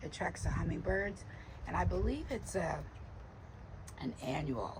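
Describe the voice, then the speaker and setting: Someone talks at a moderate pace over noticeable background noise. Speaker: gardening vlogger. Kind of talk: casual garden tour vlog. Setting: outdoors in garden.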